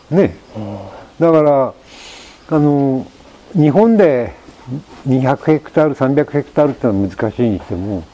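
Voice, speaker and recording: Over noticeable background noise, a man with a fairly high pitch makes very wide pitch swings and leaves long, frequent pauses. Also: fairly slow pace. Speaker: sheep ranch owner and former French chef. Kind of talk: casual chat.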